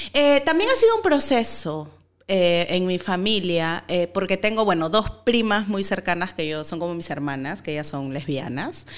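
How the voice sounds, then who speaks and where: At a fairly slow pace, a woman of medium pitch makes very wide pitch swings over noticeable background noise. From Peru. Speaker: actress and activist. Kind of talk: casual chat. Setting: studio.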